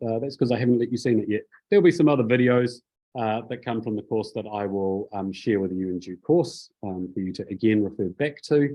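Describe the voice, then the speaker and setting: This is a man speaking. His pace is fairly quick. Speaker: preaching lecturer. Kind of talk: lecture. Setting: classroom with Zoom participants. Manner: formal; casual, halting.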